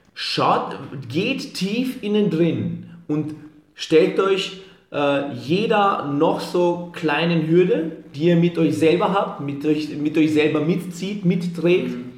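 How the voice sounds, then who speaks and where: Speaking very slowly, a man with a high pitch uses ordinary pitch variation over noticeable background noise. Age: 20s. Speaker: fitness entrepreneur. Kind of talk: motivational pep talk; podcast interview.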